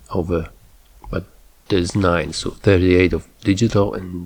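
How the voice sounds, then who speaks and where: A man speaks in a Slavic accent at a fairly slow pace. His pitch is very deep and low. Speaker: photographer. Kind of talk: tutorial. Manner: halting; casual, with filler words.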